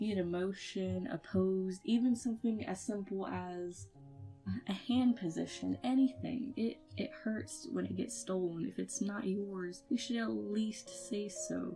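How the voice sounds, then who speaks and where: A woman talks at a fairly slow pace with music playing in the background. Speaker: 3D animator. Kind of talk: casual talk to camera. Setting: home recording, poor mic.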